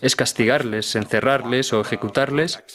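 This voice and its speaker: Music plays in the background as a man speaks at a fairly quick pace. His pitch is medium, with ordinary variation. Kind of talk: documentary dub.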